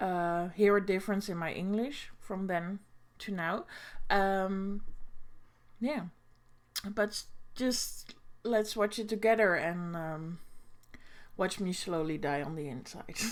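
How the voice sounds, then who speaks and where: Speaking with a Dutch accent, a woman moves at a very slow pace with long, frequent pauses and ordinary pitch variation. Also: medium pitch for a woman. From Netherlands. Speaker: booktuber. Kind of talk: reaction video commentary. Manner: halting, many fillers.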